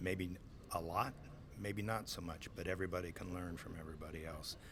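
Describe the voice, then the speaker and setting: A man with an American accent speaks at a fairly quick pace with a very deep, low pitch. His intonation stays fairly even, and audible room echo surrounds him. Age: 60s. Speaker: swine farm manager. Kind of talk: interview. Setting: conference.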